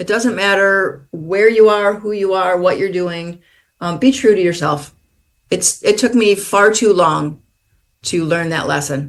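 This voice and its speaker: A woman with an American accent talks at a fairly slow pace and a medium pitch. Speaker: author. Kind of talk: interview.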